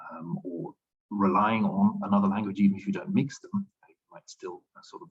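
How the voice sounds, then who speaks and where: A man with a Dutch accent at a fairly quick pace, in a dry, close sound with no echo. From Flanders, Belgium. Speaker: linguistics researcher. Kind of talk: academic Q&A. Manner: hesitant, thinking aloud.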